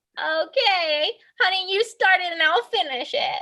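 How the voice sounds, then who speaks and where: A woman's squeaky, put-on character voice at an extremely high pitch, lively in intonation and moderate in pace. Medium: game stream. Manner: teasing, self-satisfied.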